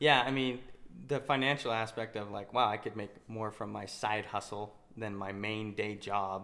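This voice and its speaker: Using a plain, everyday voice, a man talks at a fairly low pitch with fairly even intonation. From Utah. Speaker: ATM business owner and podcast co-host. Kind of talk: casual chat. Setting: home.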